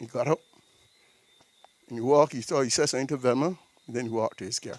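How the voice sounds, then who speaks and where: A man is talking here. His voice sounds dry and close, with no echo at all. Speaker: mourner giving a tribute. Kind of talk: eulogy tribute.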